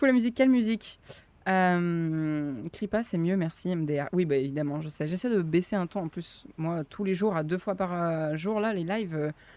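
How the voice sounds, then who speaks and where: The woman's voice is fairly low in pitch with a dark, mellow tone. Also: ordinary pitch variation, moderate pace. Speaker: streamer and roleplay server staff. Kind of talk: live stream chat; staff briefing. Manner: animated. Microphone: mic too quiet versus game audio.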